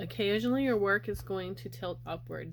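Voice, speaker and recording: A woman speaks at a fairly quick pace. Room echo is audible. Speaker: crochet crafter. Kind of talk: tutorial.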